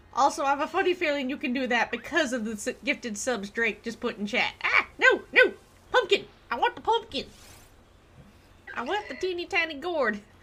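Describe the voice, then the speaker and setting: With an American accent, a woman speaks in a raised, projected voice at a high pitch, her pitch swinging very widely at a moderate pace. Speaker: gaming live streamer. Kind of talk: casual live stream chat while gaming. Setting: live stream.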